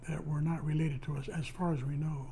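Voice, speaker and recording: Heard with audible room echo, a man talks at a moderate pace in a fairly high pitch with a dark, mellow tone. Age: 80s+. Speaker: retired postal worker. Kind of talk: oral history interview. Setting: at home.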